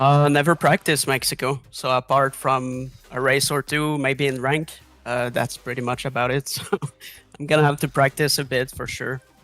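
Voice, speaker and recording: A man talks in a French accent at medium pitch and moderate pace. His intonation is monotone and flat, and the sound is dry and close with no echo. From France. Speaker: sim racing driver. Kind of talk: post-race interview. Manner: halting.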